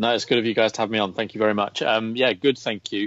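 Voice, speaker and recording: A man with an English accent speaks very fast at a medium pitch. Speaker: golf betting writer. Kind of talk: podcast interview.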